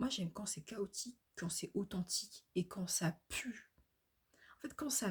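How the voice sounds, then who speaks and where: A woman's somewhat breathy voice, medium in pitch, moves along at a fairly slow speed. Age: 20s. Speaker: vlogger. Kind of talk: casual monologue vlog. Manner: hesitant, many fillers.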